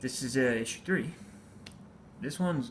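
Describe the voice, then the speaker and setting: A man speaks with lively intonation and a somewhat breathy voice. Audible room echo surrounds him. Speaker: comic book collector vlogger. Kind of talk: casual haul video. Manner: hesitant, many fillers.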